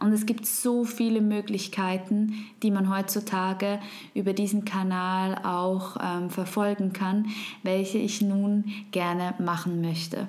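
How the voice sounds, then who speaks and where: Over noticeable background noise and audible room echo, a woman speaks very slowly at a medium pitch, her intonation monotone and flat and her loudness very even. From Switzerland. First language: Swiss German (speaking German). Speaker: podcast host. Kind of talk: podcast monologue.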